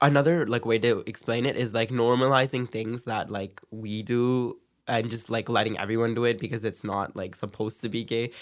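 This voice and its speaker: With a Canadian accent, a man talks at a fairly quick pace in a medium pitch, with fairly even intonation and an ordinary speaking voice. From Canada, Brampton, Ontario. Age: 20s. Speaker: dancer. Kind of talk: casual interview.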